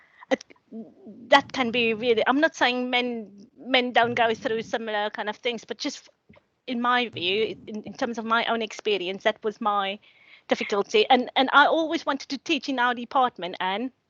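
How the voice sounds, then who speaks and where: In a South African accent, a woman talks with a high pitch, a bright, sharp tone and ordinary pitch variation, the sound dry and close with no echo. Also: moderate pace. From South Africa, Cape Town. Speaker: academic, social work lecturer. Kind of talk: panel discussion. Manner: halting, many repetitions.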